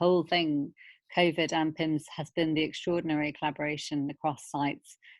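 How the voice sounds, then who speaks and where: Monotone, flat intonation comes from a woman whose pitch sits very deep and low. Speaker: paediatric infectious diseases consultant. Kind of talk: online teaching session Q&A. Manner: fast.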